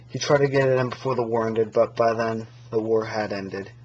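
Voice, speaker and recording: A man mumbles at a moderate pace in a medium pitch. His intonation stays monotone and flat. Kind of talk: casual gear review to camera. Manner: mumbling, hesitant.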